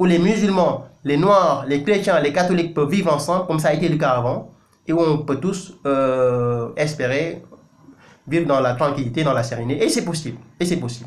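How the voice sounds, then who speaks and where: Speaking with a Senegalese accent, a man uses a fairly high pitch and ordinary pitch variation, with audible room echo. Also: moderate pace. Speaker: news website editor and commentator. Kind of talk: video commentary monologue. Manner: emphatic, impassioned; frequent hesitations and self-corrections.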